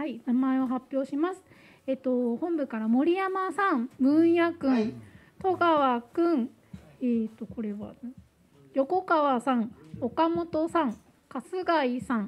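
Speaking very slowly, a woman uses a high pitch. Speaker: staff member. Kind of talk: announcements at meeting. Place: hall. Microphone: handheld.

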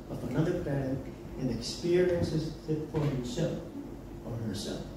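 Ordinary pitch variation comes at a moderate pace, with audible room echo and noticeable background noise. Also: man. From Philippines, Davao. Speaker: political commentator. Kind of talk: public forum talk. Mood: indignant, critical. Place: bar.

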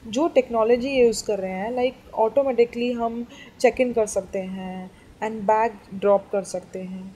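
Over light background noise, a woman speaks in a dark, mellow tone. Her pace is fairly slow and her pitch varies in an ordinary way. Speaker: travel vlogger. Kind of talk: casual vlog chat. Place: hall. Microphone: phone near.

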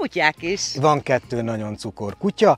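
Swinging very widely in pitch, a man talks at a moderate pace with a dry sound and no echo. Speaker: gardening channel host. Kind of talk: casual vlog chat. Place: garden.

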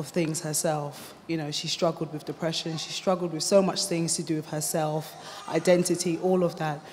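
A woman with a British accent speaks in a fairly low pitch at a fairly quick pace. Her intonation is flat and monotone, with light background noise behind her. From UK, Ghanaian family. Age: 20s. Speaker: mother sharing experience. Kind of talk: testimony. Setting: stage with audience. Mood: earnest, reflective. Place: hall. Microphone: handheld.

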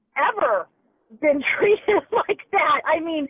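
A loud woman's voice. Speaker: customer, caller. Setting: phone, via car Bluetooth. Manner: agitated, indignant.

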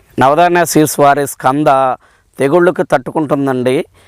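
An ordinary speaking voice from a man with a fairly high pitch and fairly even intonation. The recording is very clean with a silent background, and the sound is dry and close with no echo. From Palnadu district, Andhra Pradesh. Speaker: farmer. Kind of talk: testimonial.

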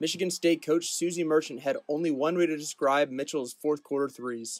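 This man has a plain, everyday voice, pitched fairly high. He talks at a fairly quick pace with fairly even intonation. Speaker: student sports reporter. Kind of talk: news reading.

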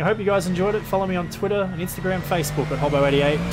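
Clear music plays in the background while someone speaks at a fairly quick pace in an Australian accent. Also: man. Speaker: sim racing gamer / video creator; sim racing gamer, video creator. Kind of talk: gameplay commentary; casual gaming commentary outro. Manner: animated. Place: home room. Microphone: headset.

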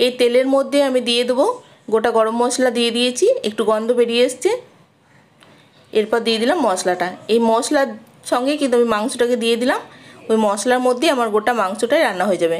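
A woman talks at a fast pace and a fairly high pitch. Her pitch varies in an ordinary way.

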